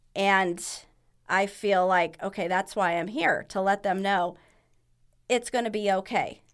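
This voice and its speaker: A woman with an American accent at a medium pitch, fairly even intonation, and long, frequent pauses, in a very clean recording with a silent background. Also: fairly slow pace. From California, San Diego. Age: 50s. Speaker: marathon runner with cystic fibrosis. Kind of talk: casual interview.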